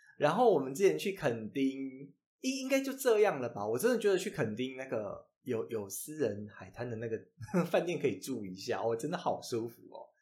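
In a Taiwanese accent, a man with a fairly high, somewhat breathy voice talks at a moderate pace, his pitch swinging very widely and his loudness shifting in big swings. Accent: Taiwanese Mandarin. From Taiwan, Changhua. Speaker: podcast co-host. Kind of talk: casual chat. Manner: animated.

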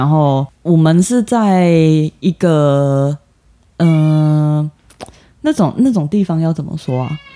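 Taking long, frequent pauses, a man speaks very slowly at a fairly high pitch with ordinary pitch variation in a dry, close sound with no echo. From southern Taiwan. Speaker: podcast co-host. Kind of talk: casual chat.

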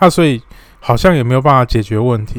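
A man talks at a medium pitch with ordinary pitch variation in an unremarkable speaking voice, the sound dry and close with no echo. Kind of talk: solo explainer monologue. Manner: frequent filler particles (哦).

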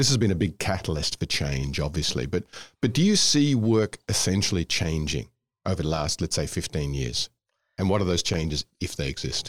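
A man with an Australian accent speaks at a moderate pace in a very deep, low voice full of vocal fry. His pitch swings very widely. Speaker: podcast host. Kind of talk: interview. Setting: studio.

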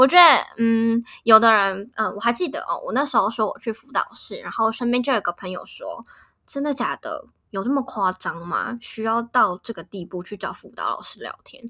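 On a very clean recording with a silent background, a woman talks at a moderate pace. Her loudness swings widely. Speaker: podcast host. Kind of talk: casual chat. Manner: animated.

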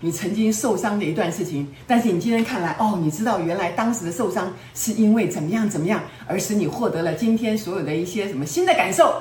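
A woman's animated voice at a fairly quick pace, with audible room echo and noticeable background noise. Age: 70s. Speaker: self-help teacher. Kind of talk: lecture.

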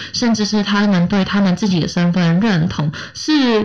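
This woman talks at a moderate pace, her pitch varying in an ordinary way, while noticeable background noise carries on behind her. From Hong Kong. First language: Cantonese (speaking Chinese). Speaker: radio host. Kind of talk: casual chat.

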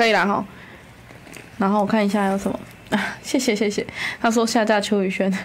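In a room with audible echo, a woman with a medium-pitched voice speaks fairly quickly but with long, frequent pauses and monotone, flat intonation. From Kaohsiung, Taiwan. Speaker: city council candidate. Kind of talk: casual chat.

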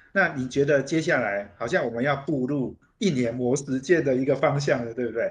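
A man speaks at a moderate pace. His voice is fairly high and somewhat breathy. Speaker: radio host. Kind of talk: radio interview. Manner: frequent fillers and hesitations.

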